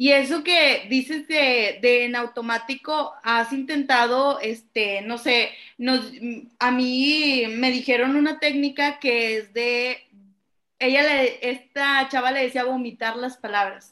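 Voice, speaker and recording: On a very clean recording with a silent background, a woman speaks very slowly in a raised, projected voice, high-pitched, bright and sharp, with fairly even intonation. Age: 20s. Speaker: podcast co-host, theatre student. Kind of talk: casual chat; reading aloud. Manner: halting, many fillers.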